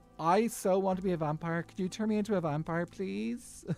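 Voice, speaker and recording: In a put-on character voice, a female-sounding speaker whines at a medium pitch and a fairly quick pace while music plays in the background. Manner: annoying, whiny, pleading.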